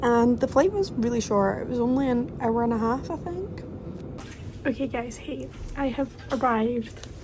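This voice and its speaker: A woman with a Glaswegian accent speaks at a fairly slow pace. Her pitch is high, and there is noticeable background noise. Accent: Glaswegian Scottish. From London, England; raised in Glasgow, Scotland. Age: 20s. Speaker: vlogger. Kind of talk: travel vlog, casual talk to camera. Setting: airport.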